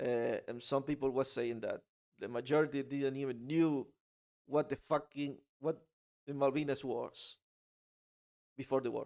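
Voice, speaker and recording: In an Argentine accent, the speaker keeps a moderate pace with long, frequent pauses and monotone, flat intonation on a very clean recording with a silent background. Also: man, fairly high pitch for a man. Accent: Argentinian Spanish accent in English. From Argentina. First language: Spanish. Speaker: political commentary vlogger. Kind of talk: casual opinion monologue. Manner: halting, many fillers and repeats.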